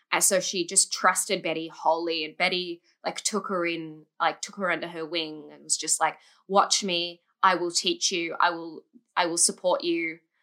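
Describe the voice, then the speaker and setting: On a very clean recording with a silent background, a woman with an Australian accent speaks at a moderate pace in a bright, sharp tone, fairly low in pitch and flat in intonation, with big swings in loudness. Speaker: musical theatre fan. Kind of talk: casual chat.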